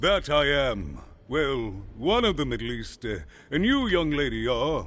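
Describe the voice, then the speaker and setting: Moderate-paced speech from a man in a put-on character voice, fairly high in pitch. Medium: video game. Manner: rambling, inverted phrasing.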